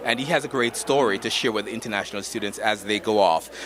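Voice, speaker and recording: Noticeable background noise sits under a voice with a Jamaican accent, speaking at a fairly quick pace with ordinary pitch variation. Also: man. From Jamaica, Saint Thomas parish. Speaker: university student affairs administrator. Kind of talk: red carpet interview. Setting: red carpet at gala event.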